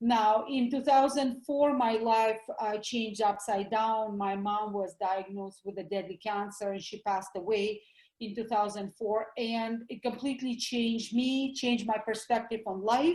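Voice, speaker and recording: Speaking at a moderate pace with hardly any pauses, a woman with a Russian accent has a fairly high pitch and fairly even intonation. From Russia (former USSR). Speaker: doctor, health educator. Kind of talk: interview.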